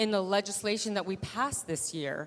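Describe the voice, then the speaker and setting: A woman talks at a moderate pace in a medium pitch with ordinary pitch variation. It is a plain, everyday voice. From Taiwan, raised in US from age 3. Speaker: state legislator. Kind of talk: panel discussion.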